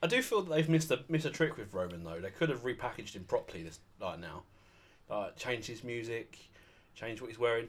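Somewhat breathy, a man talks at a very fast pace, his pitch swinging very widely and his loudness rising and falling sharply. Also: medium pitch for a man. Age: 20s. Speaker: wrestling fan, podcast guest. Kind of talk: casual chat.

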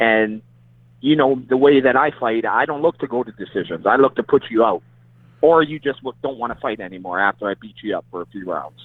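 A man with a plain, everyday voice speaks at a fairly quick pace with ordinary pitch variation. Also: medium pitch for a man. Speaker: boxer. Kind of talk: casual chat.

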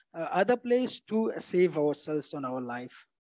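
The speech comes at a fairly slow pace. The sound is dry and close with no echo over a quiet background. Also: man. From Afghanistan, Nangarhar province. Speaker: unemployed law graduate. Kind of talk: interview. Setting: remote call. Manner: halting.

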